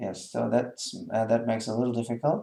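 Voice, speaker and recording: A man talks with a dark, mellow tone and a German accent. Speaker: German language teacher. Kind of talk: tutorial. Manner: hesitant, many fillers.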